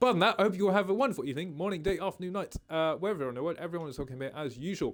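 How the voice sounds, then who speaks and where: A man speaks very fast in a high voice with lively intonation. The recording is very clean, with a silent background. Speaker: gaming streamer. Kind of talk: live stream chat.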